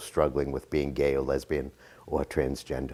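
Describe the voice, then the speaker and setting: This man speaks with vocal fry. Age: 60s. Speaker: college professor and social worker. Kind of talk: interview. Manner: halting, many fillers.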